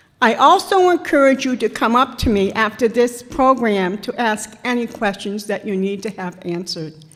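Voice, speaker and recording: Over noticeable background noise, a woman with a fairly high voice and lively intonation speaks with hardly any pauses. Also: moderate pace. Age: 60s. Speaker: veteran's widow and volunteer counselor. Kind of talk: public talk at a town hall meeting. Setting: town hall meeting with audience.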